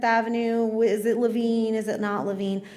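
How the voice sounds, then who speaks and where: A woman with a fairly high pitch speaks amid audible room echo. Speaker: history professor. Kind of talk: public lecture. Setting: live talk with audience. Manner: fast.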